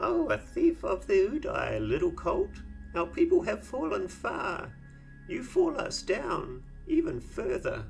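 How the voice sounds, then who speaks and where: A man puts on a sing-song character voice at a fairly slow pace. Clear music plays in the background. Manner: sing-song, rising and falling.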